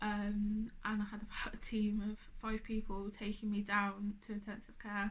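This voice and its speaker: Somewhat breathy, a woman speaks at a moderate pace. Her pitch is fairly high. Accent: English. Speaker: cancer survivor. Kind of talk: personal testimony. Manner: slurred speech; hesitant.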